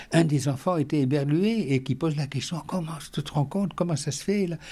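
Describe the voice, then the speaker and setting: This man has a fairly high pitch, a somewhat breathy quality, and a dark, mellow tone. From Algeria. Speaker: retired educator and interfaith activist. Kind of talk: interview. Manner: halting, many repetitions and hesitations.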